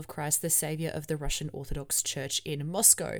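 With an Australian accent, a woman speaks at a fairly quick pace. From Melbourne, Australia. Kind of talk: podcast monologue and interview. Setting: remote call interview.

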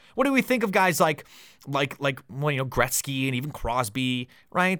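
A man with a Canadian accent speaks at a moderate pace in a plain, everyday voice, fairly high in pitch. The recording is very clean, with a silent background. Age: 20s. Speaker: hockey podcast host. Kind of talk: solo podcast commentary. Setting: home studio.

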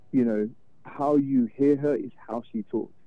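A man speaks very slowly in a British accent. His intonation stays fairly even. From London, England. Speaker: record label owner and sound engineer. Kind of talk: interview. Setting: phone call.

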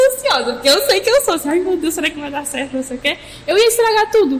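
A woman's voice swings very widely in pitch over noticeable background noise. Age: 20s. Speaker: church youth leader. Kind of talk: casual chat.

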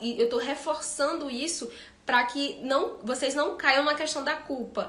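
A woman's fairly even intonation, with audible room echo and noticeable background noise. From Ceará, Brazil. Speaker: veterinarian. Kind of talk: live-stream talk with Q&A.

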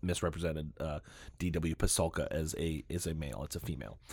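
In a very clean recording with a silent background, a man with a very deep, low pitch and vocal fry speaks at a very fast pace with fairly even intonation. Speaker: podcast co-host. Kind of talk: casual chat.

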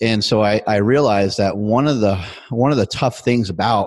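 Pitched fairly low with ordinary variation, this man has a plain, everyday voice. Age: 40s. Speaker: strength athlete and fitness entrepreneur. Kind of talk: casual interview.

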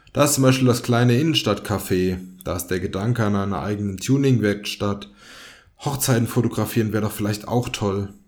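A man with a fairly low pitch uses a normal speaking voice, his pitch varying in an ordinary way. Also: fairly quick pace. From Germany, Fulda (Hesse). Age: 20s. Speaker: podcast host. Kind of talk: scripted podcast intro monologue. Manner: casual, joking.

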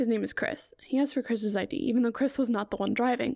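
Soft-spoken and high-pitched, a woman with an American accent and a dark, mellow tone talks with ordinary pitch variation. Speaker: podcast host. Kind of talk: casual solo chat. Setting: home recording. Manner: frequent laughter.

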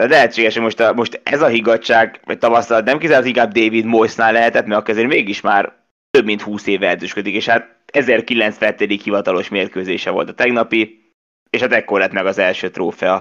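Here a man talks at a medium pitch. His pace is moderate and his intonation fairly even. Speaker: sports podcast host. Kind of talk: casual football discussion. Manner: halting, many fillers.

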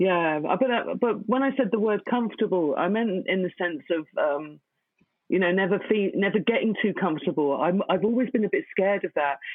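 Her unremarkable speaking voice sits at a medium pitch, and the woman talks at a fairly quick pace with lively intonation. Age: 40s. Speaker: poet. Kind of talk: interview.

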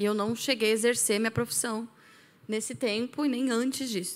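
A woman with a plain, everyday voice speaks fairly quickly at a fairly high pitch with fairly even intonation, on a very clean recording with a silent background. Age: 30s. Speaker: science teacher and church member. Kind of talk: casual chat.

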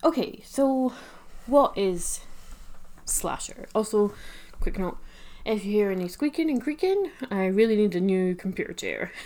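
At a moderate pace with long, frequent pauses, a woman with a fairly high pitch sounds energetic and uses lively intonation. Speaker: horror podcast host. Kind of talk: solo podcast commentary. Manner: energetic, caffeinated tone.

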